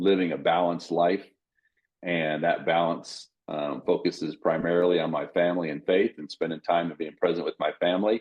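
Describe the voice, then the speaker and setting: Here a man's very deep, low voice moves at a moderate pace. His intonation is monotone and flat. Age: 60s. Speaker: podcast co-host. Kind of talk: casual chat.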